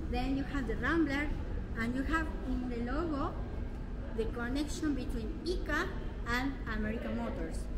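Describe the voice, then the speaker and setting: Moderate pace with long, frequent pauses over loud background noise. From Argentina. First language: Spanish. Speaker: museum staff. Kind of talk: guided tour explanation. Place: hall. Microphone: phone near.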